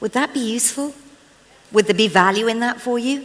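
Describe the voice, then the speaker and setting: With a British accent, a woman speaks at a fairly high pitch in an animated tone. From England. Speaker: motivational speaker and trainer. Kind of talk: inspirational talk. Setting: stage with audience.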